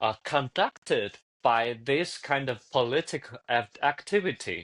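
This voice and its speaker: A man with a Chinese accent at a medium pitch, lively intonation and a fairly slow pace, against a quiet background. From China. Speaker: cultural explainer guest. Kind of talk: casual chat. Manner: halting, many restarts and fillers.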